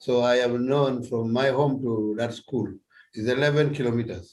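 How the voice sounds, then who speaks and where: In a Ugandan accent, a man speaks fairly slowly at a medium pitch in a somewhat breathy voice. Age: 70s. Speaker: retired policeman. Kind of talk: interview answer.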